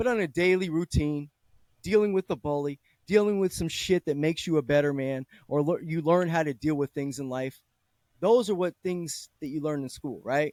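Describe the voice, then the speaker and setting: With a normal speaking voice, a man talks at a fairly high pitch and a moderate pace, with ordinary pitch variation in a dry, close sound with no echo. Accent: American. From California, Bay Area. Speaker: discussion host, father. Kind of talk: casual chat.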